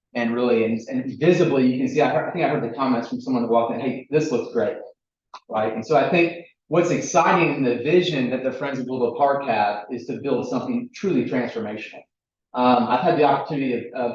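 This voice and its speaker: A man talks very fast with a slight Southern US accent. His pitch varies in the ordinary way, and there is audible room echo. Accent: slight Southern twang. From US South, Chattanooga, Tennessee. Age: 40s. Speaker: recreation equipment company representative. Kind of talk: presentation at public meeting. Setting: village board meeting room with audience.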